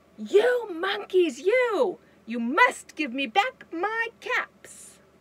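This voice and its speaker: Using a put-on character voice, a woman speaks at an extremely high pitch with very wide pitch swings and a very slow pace. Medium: read story. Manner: calling out, then scolding and increasingly angry.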